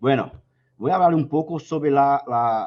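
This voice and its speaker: This man has a Brazilian accent. His pace is fairly slow. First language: Portuguese (speaking Spanish). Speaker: pension fund director and actuary. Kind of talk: conference presentation. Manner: slow, deliberate; hesitant.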